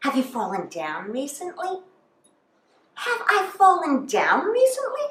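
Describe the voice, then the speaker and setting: Moderate pace, very wide pitch swings and audible room echo. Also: woman. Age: 60s. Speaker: comedian. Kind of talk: stand-up.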